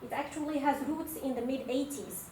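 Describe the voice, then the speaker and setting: A woman's high-pitched voice at a moderate pace, with audible room echo and noticeable background noise. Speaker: postdoc lecturer. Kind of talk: lecture.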